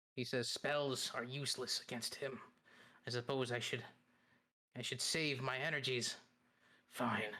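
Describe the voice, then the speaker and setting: A man uses a put-on character voice at a medium pitch. His intonation is monotone and flat, with long, frequent pauses. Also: moderate pace. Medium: actual play. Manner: curt, dismissive.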